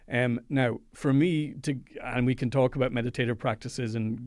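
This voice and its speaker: A man speaks at a medium pitch with an Irish accent and monotone, flat intonation. The recording is very clean, with a silent background. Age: 50s. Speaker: psychologist and meditation teacher. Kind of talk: interview.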